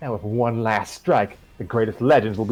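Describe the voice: Reading aloud, plain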